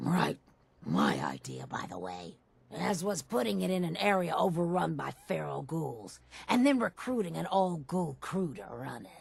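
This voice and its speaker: This is a put-on character voice pitched low-to-middle. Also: moderate pace. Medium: video game. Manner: wheedling.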